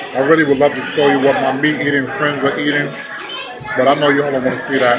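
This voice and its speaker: Clear music plays in the background while a man talks. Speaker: food vlogger. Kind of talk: casual vlog chat. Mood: relaxed, friendly. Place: cafe. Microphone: phone near.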